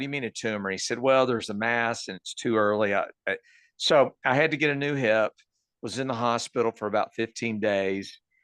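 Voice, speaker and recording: Against a quiet background, dry and close with no echo, a voice with a Texan accent moves at a moderate pace with ordinary pitch variation. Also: man. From Texas, Dallas area. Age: 60s. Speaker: cancer patient. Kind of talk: interview.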